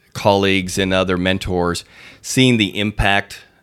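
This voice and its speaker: In a very clean recording with a silent background, a man with a plain, everyday voice talks at a moderate pace, his fairly low pitch held in fairly even intonation. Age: 50s. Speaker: school superintendent. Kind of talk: interview.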